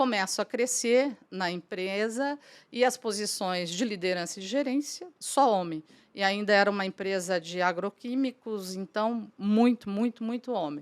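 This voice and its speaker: A woman talks at a medium pitch and a moderate pace, with an unremarkable speaking voice and ordinary pitch variation. The recording is very clean, with a silent background. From Brazil, São Paulo state interior (São José do Rio Preto). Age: 60s. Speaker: businesswoman, franchise council president. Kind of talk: podcast interview, personal story.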